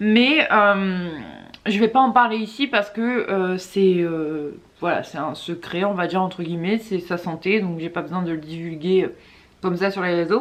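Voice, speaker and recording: The voice moves at a fairly slow pace. Its pitch varies in an ordinary way. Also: woman, medium pitch for a woman. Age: 20s. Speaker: mother of two, YouTuber. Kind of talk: casual talk to camera.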